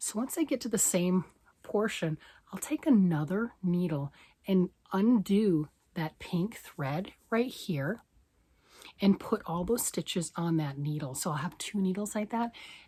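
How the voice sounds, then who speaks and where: A woman's somewhat breathy voice sits at a medium pitch and has a dark, mellow tone. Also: lively intonation. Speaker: knitting vlogger. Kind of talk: casual talk to camera.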